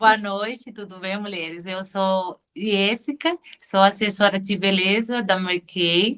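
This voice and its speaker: A woman's medium-pitched voice at a very slow pace, with big swings in loudness and hardly any pauses. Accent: Spanish. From Venezuela. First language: Spanish (speaking Portuguese). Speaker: beauty products consultant. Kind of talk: self-introduction pitch. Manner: halting.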